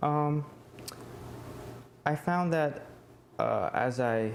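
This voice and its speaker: A man with an American accent, amid noticeable background noise. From United States. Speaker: college student. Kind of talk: oral history interview answer.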